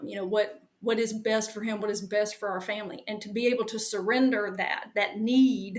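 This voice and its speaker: With a Southern US accent, the speaker delivers lines at a moderate pace in a monotone, flat intonation. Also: woman. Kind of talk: interview.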